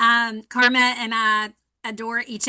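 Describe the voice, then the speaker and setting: A woman speaks with a North Carolina accent. Her pitch is fairly high and her tone bright and sharp. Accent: Southern US (North Carolina). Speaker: fire safety educator. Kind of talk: workshop presentation. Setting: virtual workshop.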